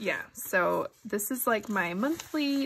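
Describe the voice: A woman's fairly bright, nasal voice with a slightly husky edge and ordinary pitch variation.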